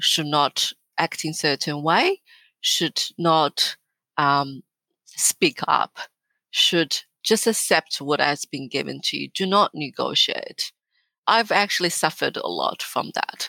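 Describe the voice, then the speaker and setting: Very slowly, a woman speaks with a Chinese accent. The sound is dry and close, with no echo. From northern China. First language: Mandarin Chinese. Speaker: business executive. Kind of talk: interview.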